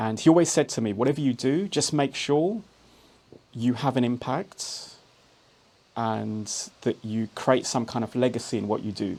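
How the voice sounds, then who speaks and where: A man speaks with a London accent. He leaves long, frequent pauses. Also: medium pitch for a man, ordinary pitch variation, moderate pace. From London, England. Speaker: entrepreneur. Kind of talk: podcast interview. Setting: studio.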